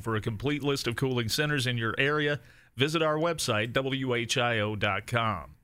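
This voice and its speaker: The man has an unremarkable speaking voice and a moderate pace. He keeps a medium pitch with ordinary variation. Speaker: radio news anchor and show sidekick. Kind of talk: news reading.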